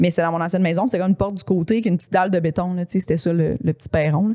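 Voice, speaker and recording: Dry and close with no echo, a woman's voice carries a dark, mellow tone at a fairly low pitch with ordinary pitch variation. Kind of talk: casual chat. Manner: animated, laughs often.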